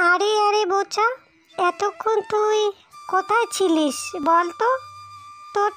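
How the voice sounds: This woman uses a cartoonish character voice. She talks at a fairly slow pace.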